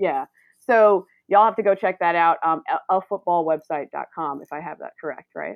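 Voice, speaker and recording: Speaking at a moderate pace with an American accent, a woman uses an ordinary speaking voice, fairly low in pitch, with ordinary pitch variation and big swings in loudness. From North Carolina, Greensboro. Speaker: sports journalist, podcast host. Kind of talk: casual chat.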